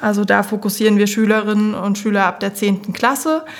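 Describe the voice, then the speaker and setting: Noticeable background noise sits behind this recording. The woman speaking has a fairly high pitch. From Thuringia, Germany. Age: 20s. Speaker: project manager, former PR worker. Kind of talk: casual podcast chat.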